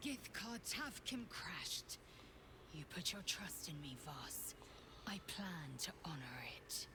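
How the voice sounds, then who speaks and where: A put-on character voice whispers at a fairly slow pace. Loud background noise runs underneath. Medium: video game.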